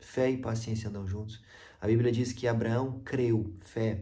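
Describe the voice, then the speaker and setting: Amid audible room echo, a man speaks slowly, his medium-pitched voice somewhat breathy, dark and mellow, with fairly even intonation. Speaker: evangelist. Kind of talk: devotional Bible teaching.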